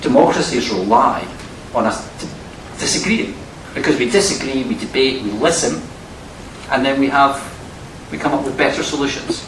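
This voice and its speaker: A man in a strong Scottish accent, fairly high pitch, lively intonation, moderate pace and long, frequent pauses, with audible room echo and noticeable background noise. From Scotland. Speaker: academic and former politician. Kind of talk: university lecture Q&A answer.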